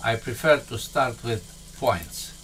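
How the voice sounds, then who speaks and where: A man with a Romanian accent talks over noticeable background noise. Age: 70s. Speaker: software tutorial instructor. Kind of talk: tutorial. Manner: halting.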